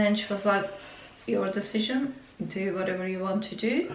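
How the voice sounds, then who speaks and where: A woman with a Turkish accent is heard with noticeable background noise and audible room echo. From Turkey. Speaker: vlogger. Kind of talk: personal story. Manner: halting, many fillers.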